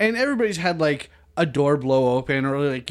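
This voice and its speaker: A man is speaking. His pitch is fairly high. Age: 30s. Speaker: podcast guest. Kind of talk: casual chat.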